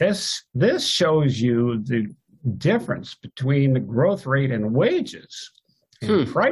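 A man's fairly high, somewhat breathy voice at a very slow pace. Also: lively intonation. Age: old. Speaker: economic historian, professor. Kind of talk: interview.

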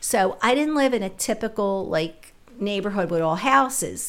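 The speaker has a plain, everyday voice with an American accent. The pace is fairly slow, with ordinary pitch variation. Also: woman. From Philadelphia (West Philly). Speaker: retired special ed worker. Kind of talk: casual chat.

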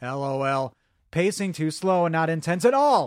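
In a very clean recording with a silent background and a dry, close sound with no echo, a man with an American accent speaks in a high pitch, animated in tone with ordinary pitch variation. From Chicago. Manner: animated, jokey, rambling.

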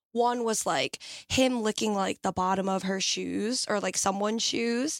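With a normal speaking voice, a woman talks at a moderate pace and fairly high pitch with ordinary pitch variation, the sound dry and close with no echo. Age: 20s. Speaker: nanny. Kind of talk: casual chat.

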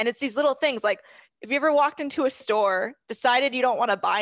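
A woman with an American accent speaks at a very fast pace with ordinary pitch variation, the sound dry and close with no echo over a quiet background. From California. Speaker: horse trainer and podcaster. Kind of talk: casual interview chat. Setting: video call.

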